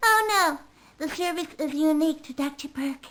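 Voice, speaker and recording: Using a put-on character voice, a woman speaks in a high pitch at a moderate pace. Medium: video game. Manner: prim, condescending.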